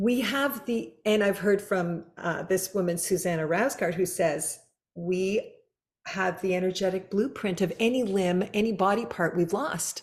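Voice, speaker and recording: Speaking at a fairly slow pace, a woman with a plain, everyday voice keeps a medium pitch and ordinary pitch variation. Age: 60s. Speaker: podcast host. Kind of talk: casual interview chat.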